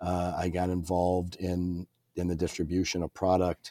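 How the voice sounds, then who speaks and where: A man with a Midwestern American accent speaks at a moderate pace in a very deep, low pitch and a dark, mellow tone. The recording is very clean with a silent background. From Illinois. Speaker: company president. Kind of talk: interview.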